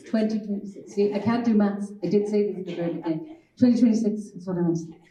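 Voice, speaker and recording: A woman speaks in a dark, mellow tone that is somewhat breathy. Audible room echo surrounds her voice. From Ireland, Galway. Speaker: children's author. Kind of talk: panel talk.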